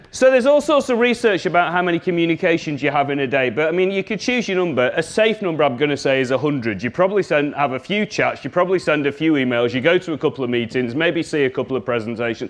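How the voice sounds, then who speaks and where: A man with a Scouse accent talks at a very fast pace, with a fairly high pitch and very wide pitch swings, over noticeable background noise. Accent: Scouse (Liverpool English). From Liverpool, England. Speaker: communication trainer. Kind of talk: workshop presentation. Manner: animated.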